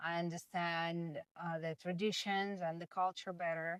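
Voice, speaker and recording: Over music in the background, a woman with a Russian accent and a fairly low pitch speaks at a moderate pace in a dry, close sound with no echo. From Russia, Moscow. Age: 30s. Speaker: language student. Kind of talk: interview. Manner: hesitant, many fillers.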